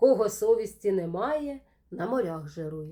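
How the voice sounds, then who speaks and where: Speaking at a fairly slow pace, a woman with a dark, mellow tone makes very wide pitch swings. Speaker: poet. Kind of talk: poetry reading, rhymed satirical verse read aloud as a storytelling poem. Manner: measured, rhythmic, expressive and wry, with a mildly ironic storytelling tone.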